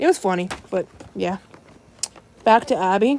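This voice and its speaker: A woman speaks with an American accent. Noticeable background noise runs under her voice. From United States. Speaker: toy reviewer. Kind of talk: casual vlog review. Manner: halting, self-correcting.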